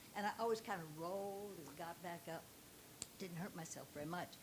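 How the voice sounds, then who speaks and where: The speaker talks at a fairly quick pace in a somewhat breathy voice. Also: woman. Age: 80s+. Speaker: audience member asking a question. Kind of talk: audience question.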